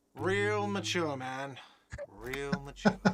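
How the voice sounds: A man's whiny, shouting put-on character voice at a medium pitch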